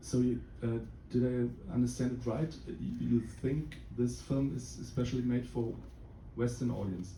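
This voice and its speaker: Speaking with a German accent at a moderate pace, a man pauses often and at length. An audible room echo surrounds his voice. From Germany. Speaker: film producer. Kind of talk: Q&A after screening. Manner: halting, many fillers.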